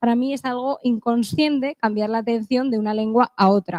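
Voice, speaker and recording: This woman talks at a moderate pace, her high voice showing ordinary pitch variation. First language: English (speaking Spanish). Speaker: conference speaker. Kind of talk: conference talk.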